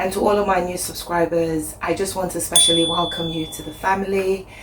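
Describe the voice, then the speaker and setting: With audible room echo and noticeable background noise, a woman speaks in a fairly low pitch with fairly even intonation. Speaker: lifestyle vlogger. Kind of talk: casual cooking vlog.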